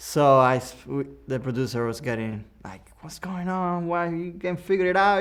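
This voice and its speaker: A man with a Cuban accent speaks in a fairly high pitch with lively intonation. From Cuba, Havana. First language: Spanish. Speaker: audio engineer. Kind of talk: Q&A talk with students. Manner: halting, many restarts and fillers.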